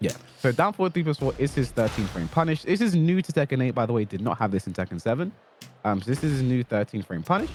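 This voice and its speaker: Music plays behind a man speaking at a very fast pace and medium pitch. His pitch swings very widely, and the sound is dry and close with no echo. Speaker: fighting game coach. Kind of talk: tutorial.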